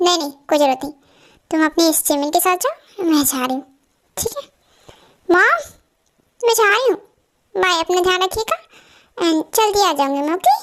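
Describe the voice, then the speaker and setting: A woman's put-on character voice, extremely high and lively in intonation, fairly quick yet broken by long, frequent pauses. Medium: audio drama. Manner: emotional, sulky.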